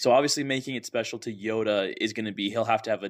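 A man with an American accent talks at a fairly quick pace in an unremarkable speaking voice with a fairly low pitch. The recording is very clean, with a silent background. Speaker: podcast host. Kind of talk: casual chat.

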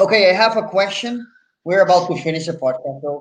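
A high-pitched man with a Puerto Rican accent speaks with ordinary pitch variation. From Puerto Rico. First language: Spanish. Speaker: podcast host. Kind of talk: interview. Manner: animated.

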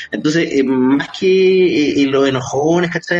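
Through noticeable background noise, a man speaks with a Chilean accent. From Chile, Santiago (San Miguel). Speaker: journalist and radio host. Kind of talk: casual chat. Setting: remote call.

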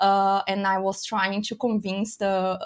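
In a very clean recording with a silent background, a woman with a Brazilian accent speaks very slowly at a medium pitch. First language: Portuguese. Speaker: beer sommelier and educator. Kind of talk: casual interview.

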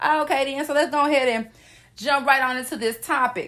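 Projecting her voice loudly, a woman with an American accent speaks at a moderate pace in a high, bright and sharp tone, sounding animated, with ordinary pitch variation. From US South. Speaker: podcast host. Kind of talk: motivational solo podcast.

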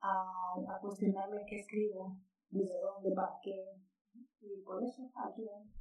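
In a normal speaking voice, a woman talks fairly slowly at a medium pitch, with fairly even intonation but big swings in loudness. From Mexico, Sonora. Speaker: writer. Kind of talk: casual interview.

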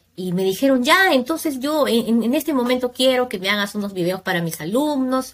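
A woman with an unremarkable speaking voice talks at a moderate pace. Her intonation is lively. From Peru, Huacho. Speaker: primary school teacher. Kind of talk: interview.

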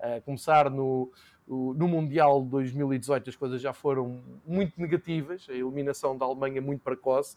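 A plain, everyday voice from a man, with fairly even intonation. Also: medium pitch for a man, moderate pace. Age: 40s. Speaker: football commentator and podcaster. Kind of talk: casual chat.

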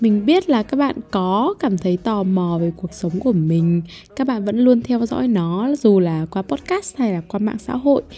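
Against a quiet background, a woman with a medium pitch and a dark, mellow, somewhat breathy tone speaks at a fairly slow pace with lively intonation and hardly any pauses. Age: young. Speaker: podcast host. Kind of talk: casual monologue. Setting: home recording room. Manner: rambling, conversational.

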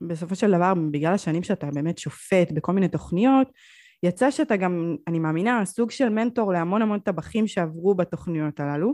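With lively intonation and a dark, mellow tone, a woman speaks over a quiet background. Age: 20s. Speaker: podcast host. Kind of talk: interview. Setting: video call.

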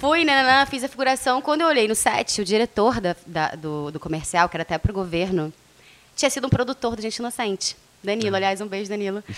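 Against noticeable background noise, a woman with a fairly high pitch talks at a very fast pace, her pitch swinging very widely. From Rio de Janeiro, Brazil. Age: 30s. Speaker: radio presenter. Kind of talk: casual interview.

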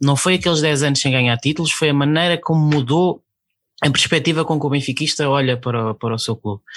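With a plain, everyday voice, a man talks at a fairly quick pace and fairly high pitch, with ordinary pitch variation against a quiet background. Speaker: podcast co-host. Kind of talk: casual chat.

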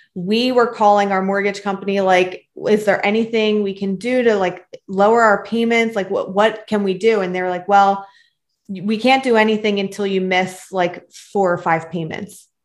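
In an ordinary speaking voice with an American accent, a woman talks at a medium pitch and a moderate pace. Her intonation is fairly even, and the background is quiet. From Philadelphia, Pennsylvania (Northeast Philly). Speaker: mother and podcaster. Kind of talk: interview.

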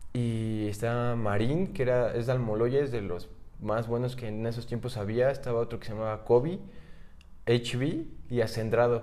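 A man talks at a medium pitch and a moderate pace, with ordinary pitch variation. His tone is dark and mellow, and audible room echo surrounds it. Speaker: freestyle rap league organizer. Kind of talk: casual chat.

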